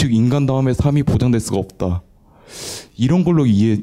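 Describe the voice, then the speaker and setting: The man's tone is dark and mellow. His pitch variation is ordinary. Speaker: audience member. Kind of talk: audience question.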